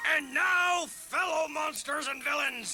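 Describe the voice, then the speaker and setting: Shouting in a cartoonish character voice, a man speaks at a fairly slow pace with an extremely high pitch. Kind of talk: ceremonial announcing.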